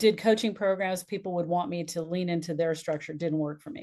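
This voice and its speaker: A woman talks in an unremarkable speaking voice at a moderate pace with ordinary pitch variation. The background is quiet. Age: 60s. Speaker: business and life strategist, speaker coach. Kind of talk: podcast interview.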